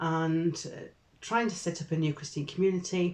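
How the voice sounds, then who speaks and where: A woman in a Yorkshire accent at a moderate pace. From northern England, Barnsley (Yorkshire). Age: 60s. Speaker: Methodist deacon. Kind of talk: casual interview. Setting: office.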